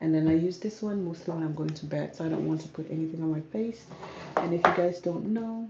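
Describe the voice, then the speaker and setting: A woman speaks at a moderate pace in a calm tone, her fairly low voice moving with ordinary pitch variation over noticeable background noise. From South Sudan, grew up in Kenya. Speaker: natural hair and skincare vlogger. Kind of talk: casual live Q&A chat.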